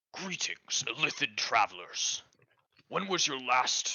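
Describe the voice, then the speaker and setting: This man puts on a character voice. His pitch sits fairly high. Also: fairly slow pace. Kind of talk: formal, ceremonial.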